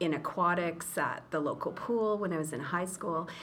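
A woman's fairly low voice with a Canadian accent, ordinary pitch variation and a moderate pace, heard with audible room echo. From Eastern Ontario, Canada. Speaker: school association executive director. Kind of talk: interview.

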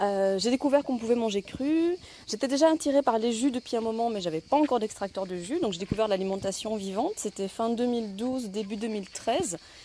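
A woman's fairly high-pitched, dark, mellow voice at a fairly quick pace with lively intonation. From Belgium (Brussels). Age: 40s. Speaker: nutrition coach and blogger. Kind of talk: testimony.

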